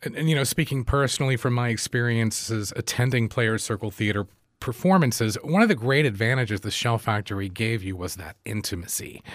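With a plain, everyday voice, a man speaks at a fairly quick pace and medium pitch with lively intonation. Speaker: radio host. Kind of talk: radio interview.

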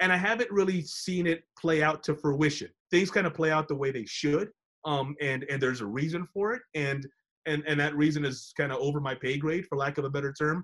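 With an American accent and an unremarkable speaking voice, a man talks at a fairly quick pace, fairly high in pitch and with ordinary pitch variation. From Texas, San Antonio. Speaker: sports broadcaster. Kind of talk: interview.

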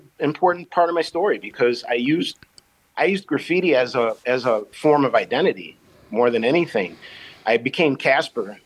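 A fairly high-pitched man with a Chicago accent at a moderate pace, with very wide pitch swings. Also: very even loudness. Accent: Chicago American. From Chicago South Side. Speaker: painter and teaching artist. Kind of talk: interview. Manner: halting.

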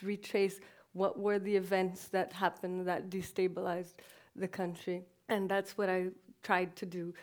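A woman with a Portuguese accent at a medium pitch, with monotone, flat intonation and a moderate pace, on a very clean recording with a silent background. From Brazil. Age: 30s. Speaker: documentary filmmaker. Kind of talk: onstage conversation. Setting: festival stage.

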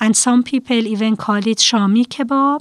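A woman speaks very slowly with an Iranian accent, her pitch fairly high. The sound is dry and close with no echo, and her pitch varies in an ordinary way. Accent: Iranian (Persian). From Iran, Tehran. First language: Persian (Farsi). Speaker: preschool teacher. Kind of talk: casual interview.

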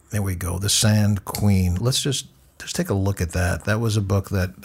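Somewhat breathy, a man with a fairly low pitch speaks at a moderate pace with fairly even intonation. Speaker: radio interviewer and journalist. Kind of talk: radio interview. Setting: studio.

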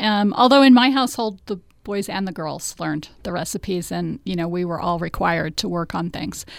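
On a very clean recording with a silent background, a woman speaks at a moderate pace. Her intonation is lively. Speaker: historian and radio show co-host. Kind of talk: casual chat.

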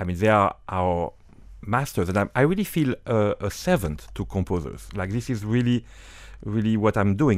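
A man speaks in a French accent at a fairly low pitch. The recording is very clean, with a silent background. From northern France. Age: 50s. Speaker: orchestra conductor. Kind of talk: interview. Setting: studio.

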